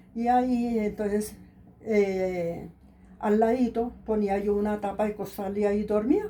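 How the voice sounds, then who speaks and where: A woman with a dark, mellow tone speaks at a fairly slow pace in monotone, flat intonation. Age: 70s. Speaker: elder interviewee. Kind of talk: life story interview. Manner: hesitant, with many fillers.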